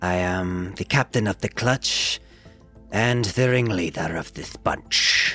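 Faint music plays behind a man doing a put-on character voice. He speaks at a fairly low pitch and a fairly slow pace. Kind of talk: rhyming, theatrical proclamation. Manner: boastful, playful.

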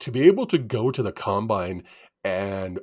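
With a Canadian accent, a man speaks in a very clean recording with a silent background. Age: 50s. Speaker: sports podcast co-host and writer. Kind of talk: casual chat. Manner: animated.

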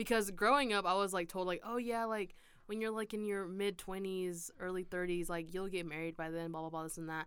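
A woman at a medium pitch with an ordinary speaking voice, fairly even intonation, and a fairly quick pace. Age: young (college age). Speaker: podcast host, college student. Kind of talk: casual interview chat.

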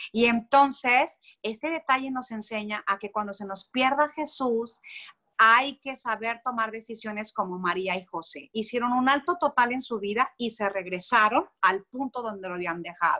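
A woman speaks at a moderate pace in a fairly high voice with a bright, sharp tone and ordinary pitch variation. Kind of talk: religious teaching in conversation.

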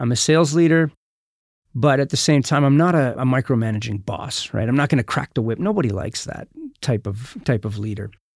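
Heard dry and close with no echo, a man talks in an unremarkable speaking voice at medium pitch, fairly quickly, with lively intonation. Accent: American. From US, military family. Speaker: sales leader and mindset coach. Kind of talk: interview. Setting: home studio. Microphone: own studio equipment.

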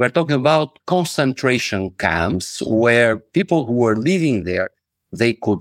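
A man with an Albanian accent at a fairly slow pace, medium pitch and lively intonation, dry close sound with no echo, very clean recording over a silent background. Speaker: motivational speaker and lawyer. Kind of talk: podcast interview.

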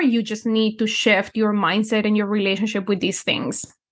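In a Spanish accent, a woman talks at a fairly high pitch over a quiet background. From Colombia. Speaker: numerology and manifestation coach. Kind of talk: casual interview.

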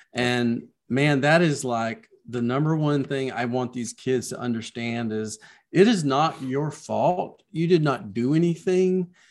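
At medium pitch and a fairly slow pace, a man talks with ordinary pitch variation. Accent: Southern US. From US South. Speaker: children's book author. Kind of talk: casual interview chat.

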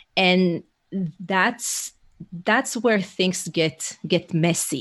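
This woman has a fairly low pitch and speaks with an Israeli accent. Her pitch varies in an ordinary way. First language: Hebrew. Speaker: leadership coach. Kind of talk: casual interview. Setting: remote call.

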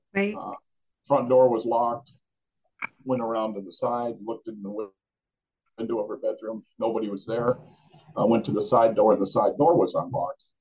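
A man at a medium pitch, fairly quick in pace and ordinary in pitch variation, with long, frequent pauses. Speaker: retired police officer and bereaved father. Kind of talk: interview, personal storytelling. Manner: halting, conversational.

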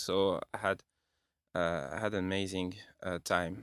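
This is a very clean recording with a silent background. A man with a French accent speaks at a fairly low pitch. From France, Bordeaux. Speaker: film composer. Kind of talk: casual interview. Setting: studio.

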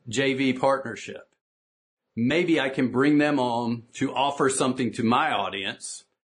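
A fairly slow delivery in a Southern US accent. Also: man. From US South. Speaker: business coach. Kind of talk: conference talk. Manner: animated.

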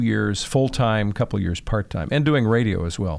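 A man with an American accent and an unremarkable speaking voice talks at a medium pitch with ordinary pitch variation, in a very clean recording with a silent background. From Chicago, Northwest Side. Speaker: TV meteorologist and broadcaster. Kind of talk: interview.

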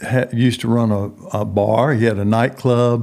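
In a very clean recording with a silent background, a man with a Texan accent speaks at a very slow pace. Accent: Texan Southern US. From Texas. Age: 70s. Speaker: prison minister. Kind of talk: interview.

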